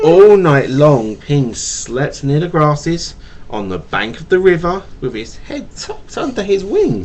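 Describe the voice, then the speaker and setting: A man at a fairly slow pace, with lively intonation and noticeable background noise. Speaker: father. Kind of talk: bedtime story reading to a child. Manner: stutters.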